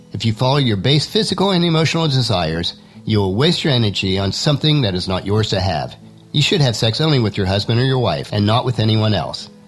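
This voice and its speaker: A man of medium pitch with very wide pitch swings, music in the background. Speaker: Bible teaching podcaster. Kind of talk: devotional podcast talk. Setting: home studio.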